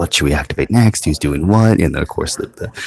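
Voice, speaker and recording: A soft-spoken man with ordinary pitch variation. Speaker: tabletop game commentator. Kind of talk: live commentary. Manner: soft-spoken, quiet.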